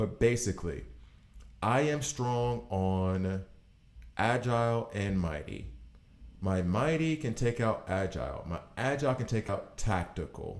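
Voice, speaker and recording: A man talks with an American accent at a fairly slow pace. His intonation is lively. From US South, Alabama. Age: 40s. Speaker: gaming streamer. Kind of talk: live gameplay commentary. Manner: casual, thinking aloud.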